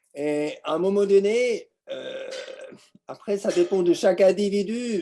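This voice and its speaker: Very slowly, the man talks in a dark, mellow tone. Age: 60s. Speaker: business owner giving testimony. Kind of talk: testimony.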